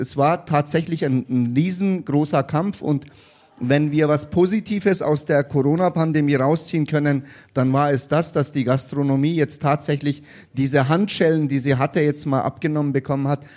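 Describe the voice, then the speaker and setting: An ordinary speaking voice with fairly even intonation and very even loudness. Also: man, fairly high pitch for a man, moderate pace. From came to Bavaria (Bayreuth) at age eight. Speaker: state politician. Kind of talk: live panel discussion. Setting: stage with live audience.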